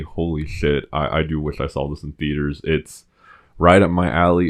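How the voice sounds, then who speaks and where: A man's very deep, low-pitched voice. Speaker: podcast co-host. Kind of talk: casual chat.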